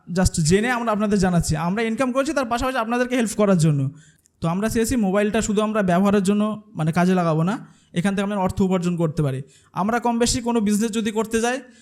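Very even in loudness, a man's high-pitched voice shows ordinary pitch variation. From India, West Bengal (Jibantala). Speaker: content creator and course co-founder. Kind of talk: presentation to audience.

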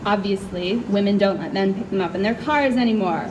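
Over noticeable noise in the background, the speaker talks with an American accent. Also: woman. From US Midwest. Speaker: poet. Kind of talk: poetry reading. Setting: stage with audience. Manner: loud. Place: tent. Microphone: handheld.

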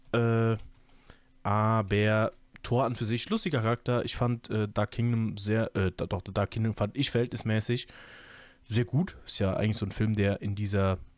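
The recording is very clean with a silent background, carrying a man's medium pitch and fairly even intonation. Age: 20s. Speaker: YouTube podcaster, film and series commentator. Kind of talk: casual solo podcast monologue. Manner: relaxed, many filler sounds.

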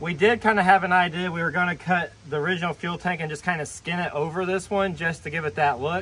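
A man with a high pitch talks at a moderate pace, his intonation fairly even. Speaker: truck restoration vlogger. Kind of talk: casual vlog chat. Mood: joking, self-deprecating. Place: open country. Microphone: phone near.

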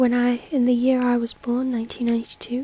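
Soft-spoken and fairly slow, a woman speaks in a high pitch with monotone, flat intonation over noticeable background noise. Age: young. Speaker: ASMR YouTuber. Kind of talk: soft-spoken ASMR reading.

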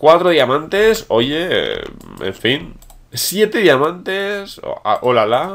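In a very clean recording with a silent background, a man with a Spanish accent and a high pitch speaks at a very slow pace with very wide pitch swings. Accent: Peninsular Spanish. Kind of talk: gameplay commentary. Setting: home recording. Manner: animated.

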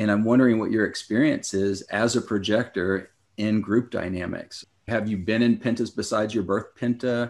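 A man with an ordinary speaking voice talks at a moderate pace and fairly low pitch, keeping his intonation fairly even. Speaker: podcast co-host. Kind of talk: casual interview conversation.

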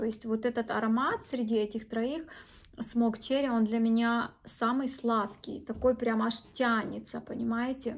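The woman speaks at a moderate pace with a fairly high pitch. Her intonation stays monotone and flat. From Ukraine. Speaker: beauty blogger. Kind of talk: product review. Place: home room. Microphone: phone near.

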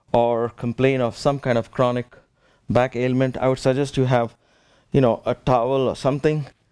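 A man with a non-native accent speaks at a moderate pace in monotone, flat intonation over a quiet background. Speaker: yoga teacher. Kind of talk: fitness class instruction. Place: gym.

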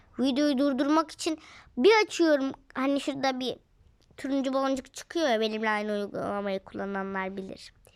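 A woman's high-pitched, animated voice with lively intonation at a moderate pace. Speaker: gaming video creator. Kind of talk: gameplay commentary.

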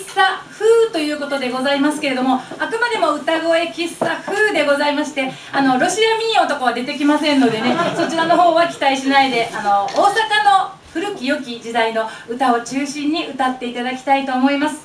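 The speech moves at a fairly quick pace with lively intonation. Audible room echo and light background noise are present. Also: woman. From Osaka. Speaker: chindon street performer. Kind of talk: live stage emcee greeting. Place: hall.

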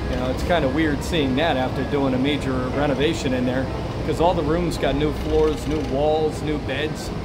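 Fairly quick speech over loud background noise. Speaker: travel vlogger. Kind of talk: casual vlog commentary. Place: bus. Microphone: phone near.

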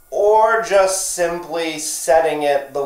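There is audible room echo as a man speaks. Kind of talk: casual vlog chat. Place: home room. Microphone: phone near.

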